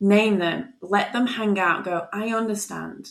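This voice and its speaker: Her tone calm and soothing, a woman speaks with ordinary pitch variation. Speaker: nurturing coach. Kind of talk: casual interview chat. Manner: calm, soothing.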